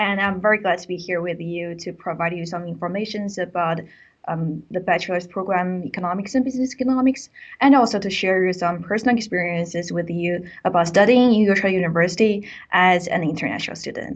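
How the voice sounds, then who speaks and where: Speaking with a Chinese accent, a woman moves at a fairly quick pace. Her loudness swings widely. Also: medium pitch for a woman, ordinary pitch variation. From China. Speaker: university student presenter. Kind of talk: webinar presentation. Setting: online webinar.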